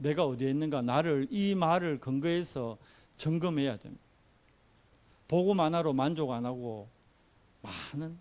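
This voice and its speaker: Long, frequent pauses break up fairly slow speech with ordinary pitch variation. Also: man, fairly high pitch for a man. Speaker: pastor. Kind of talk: sermon.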